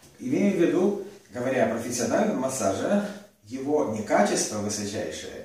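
A man at a moderate pace, with strong room echo. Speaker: massage teacher. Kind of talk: lecture. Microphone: camera far.

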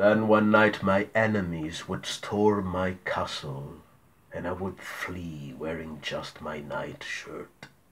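A man speaks very slowly in a put-on character voice with a very deep, low pitch. His loudness swings widely. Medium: read story.

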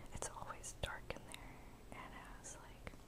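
A soft-spoken woman whispering at a very slow pace. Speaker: vlogger. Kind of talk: casual vlog chat answering questions. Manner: soft ASMR whisper, close to mic. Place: home room. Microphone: webcam.

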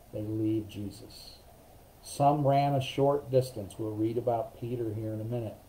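Against light background noise, a man with a dark, mellow tone speaks somewhat breathily at a fairly slow pace with fairly even intonation. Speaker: pastor leading Bible study. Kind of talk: Bible study teaching. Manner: casual with many fillers. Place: home room. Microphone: webcam.

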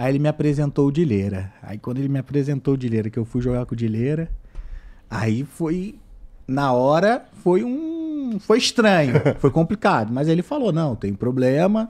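A man at a fairly high pitch with very wide pitch swings, against a quiet background. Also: moderate pace. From Brazil. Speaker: YouTuber and gamer; YouTuber, gamer. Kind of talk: casual chat. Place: studio. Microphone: studio mic.

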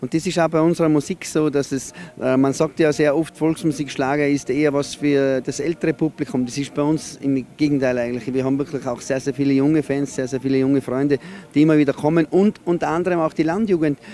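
The speech comes at a very fast pace with fairly even intonation. The sound is dry with no echo, and music plays in the background. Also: man. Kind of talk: interview answer. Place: open country. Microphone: handheld.

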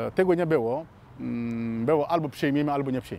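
Very fast delivery with fairly even intonation, in a dry sound with no echo. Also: man. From Mali. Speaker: law graduate, Africa commentator. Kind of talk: monologue commentary. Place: garden.

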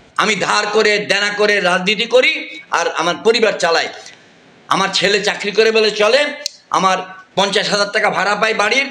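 Over audible room echo, a man speaks in a raised, projected voice at a high pitch, his intonation fairly even. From Bangladesh. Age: 70s. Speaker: politician and retired army general; politician. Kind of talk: private phone conversation.

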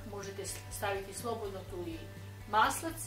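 A woman speaks with audible room echo. Clear music plays in the background. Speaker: home cook host. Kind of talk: cooking tutorial. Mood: warm, cheerful. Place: kitchen. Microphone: camera far.

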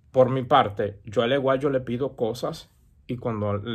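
A somewhat breathy male voice with ordinary pitch variation over a quiet background. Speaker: santería practitioner and YouTuber; religious advice vlogger. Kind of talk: casual advice monologue. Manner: hesitant with many fillers. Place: home room. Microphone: earbuds.

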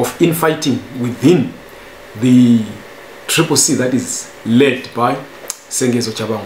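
A man at a fairly slow pace, with light background noise and audible room echo. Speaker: news commentator. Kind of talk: commentary. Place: home room.

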